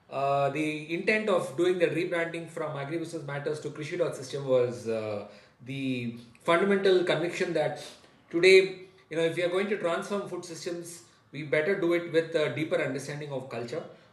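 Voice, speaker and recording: Against noticeable background noise, a man talks at a fairly quick pace and fairly high pitch with ordinary pitch variation. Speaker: podcast host. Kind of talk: podcast introduction.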